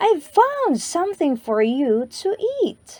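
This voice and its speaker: A woman speaks in a put-on character voice with a warm, gentle tone, extremely high pitch, very wide pitch swings and a fairly slow pace. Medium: read story.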